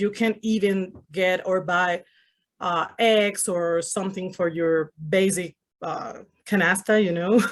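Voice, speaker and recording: A woman speaks very slowly at a medium pitch with a Spanish accent. Her intonation is flat and monotone, and the background is quiet. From Venezuela. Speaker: Spanish-speaking correspondent. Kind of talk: interview.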